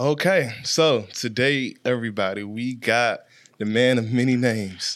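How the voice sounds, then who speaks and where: A man with an American accent and a plain, everyday voice speaks at a fairly slow pace and medium pitch with ordinary pitch variation. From Washington, D.C. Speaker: podcast host and music video director. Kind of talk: casual chat.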